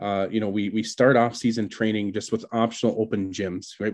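A man with an American accent speaks in a plain, everyday voice at a fairly low pitch. His pace is moderate and his intonation fairly even. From southwestern Wisconsin. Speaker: high school baseball coach. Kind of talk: interview.

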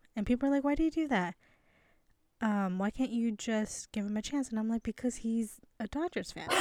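An unremarkable speaking voice from a woman, fairly high-pitched and fairly quick, with ordinary pitch variation on a very clean recording against a silent background. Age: 30s. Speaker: podcast co-host. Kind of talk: casual chat.

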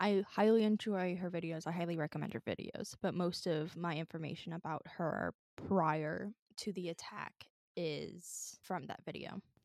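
A woman's fairly low voice with vocal fry, fairly even intonation and a moderate pace, in a dry, close sound with no echo. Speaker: podcast co-host. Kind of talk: casual chat. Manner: casual, laughs often.

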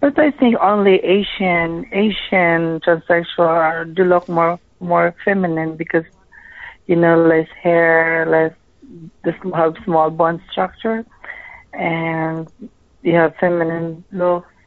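Speaking at a very slow pace, a woman with a non-native accent holds a fairly low pitch. Her intonation is fairly even and her loudness very even. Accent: foreign-accented English. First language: not English. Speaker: caller, escort. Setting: phone call.

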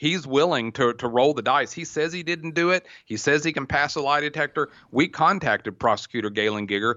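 Lively intonation carries this voice along at a fairly quick pace. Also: man, fairly high pitch for a man. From Oklahoma. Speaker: private investigator. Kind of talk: interview.

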